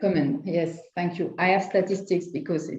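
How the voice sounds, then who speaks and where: In a French accent, a woman speaks at a fairly low pitch with fairly even intonation. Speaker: lawyer. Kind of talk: panel discussion. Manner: halting.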